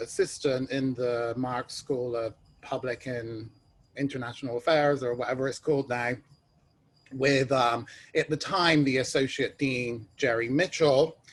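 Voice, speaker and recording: A man speaks with a British accent at a moderate pace. His pitch is fairly high, and his intonation stays fairly even. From England (London). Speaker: ed tech executive, alumni panelist. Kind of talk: panel discussion.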